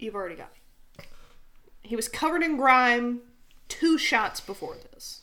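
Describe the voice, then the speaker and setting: A woman's high, bright, sharp voice with lively intonation, at a fairly slow pace with long, frequent pauses. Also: big swings in loudness. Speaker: podcast co-host. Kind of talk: casual chat.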